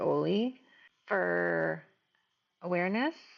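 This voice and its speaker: A woman with a Midwestern accent. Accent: Midwest US. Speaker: mother of medically complex child, nurse. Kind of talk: video diary. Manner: casual, conversational.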